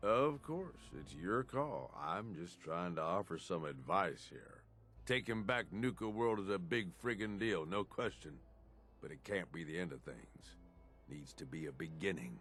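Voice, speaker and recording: Using a put-on character voice, a man growls in a gruff, very deep, low pitch with very wide pitch swings and big swings in loudness at a moderate pace over clear background noise. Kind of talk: video game dialogue. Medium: video game. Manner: gruff, casual slangy talk.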